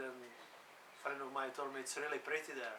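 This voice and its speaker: A man with a Czech accent speaks at a moderate pace and a fairly high pitch, in a monotone, flat intonation. The recording has audible room echo and noticeable background noise. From Czech Republic. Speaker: sea kayak coach and adventurer. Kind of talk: interview. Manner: casual, hesitant with fillers.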